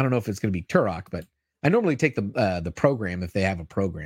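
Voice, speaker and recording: The speaker is a man whose voice carries vocal fry. The sound is dry and close with no echo, on a very clean recording with a silent background. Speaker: comics news show host. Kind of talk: casual livestream show hosting. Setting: live YouTube stream, studio. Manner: upbeat, chatty.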